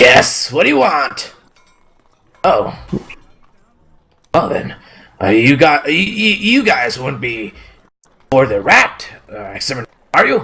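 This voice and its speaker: A man at medium pitch does a put-on character voice. He goes very slowly, with long, frequent pauses. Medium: actual play. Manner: stammering.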